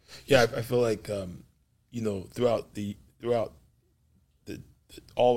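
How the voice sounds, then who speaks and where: Somewhat breathy, a man speaks at a fairly low pitch with an American accent. He keeps a moderate pace. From Los Angeles. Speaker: pastor and podcast host. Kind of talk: faith interview. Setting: studio. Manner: animated.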